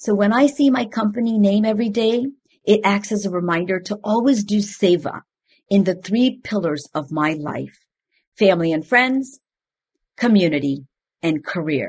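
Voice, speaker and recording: The voice is somewhat breathy, and its intonation is lively. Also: woman, medium pitch for a woman, moderate pace. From India. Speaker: diversity consultant. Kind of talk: interview.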